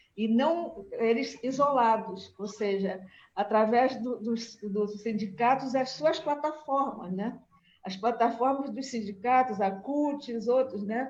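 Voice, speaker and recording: Very slow speech from a woman with a fairly high pitch and ordinary pitch variation. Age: 70s. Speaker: agricultural researcher. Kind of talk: panel discussion remarks. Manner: halting, many fillers.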